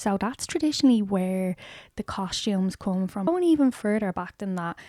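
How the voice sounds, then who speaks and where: A woman with an Irish accent speaks at a moderate pace and medium pitch, with a dark, mellow tone and lively intonation, on a very clean, dry, close recording with a silent background and no echo. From Ireland. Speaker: lifestyle and book YouTuber. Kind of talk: casual vlog talk to camera.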